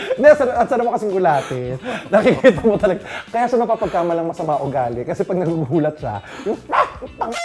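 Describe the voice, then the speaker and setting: Very fast and high-pitched, a man talks with very wide pitch swings against noticeable background noise. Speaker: talk show host. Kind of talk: casual interview chat.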